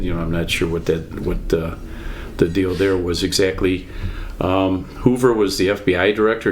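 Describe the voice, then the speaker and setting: A man talks at a moderate speed. Audible room echo and noticeable background noise are present. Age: 60s. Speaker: podcast guest, grandfather. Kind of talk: casual chat. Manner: hesitant, with many ums.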